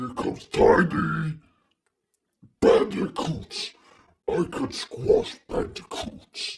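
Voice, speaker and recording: A man puts on a character voice, talking very slowly and stopping often for long pauses. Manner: broken, simple speech.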